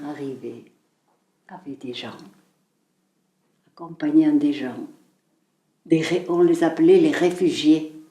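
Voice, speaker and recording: Speaking at a very slow pace with long, frequent pauses, this voice has ordinary pitch variation and big swings in loudness. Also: woman. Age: 80s. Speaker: eyewitness. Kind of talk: interview testimony.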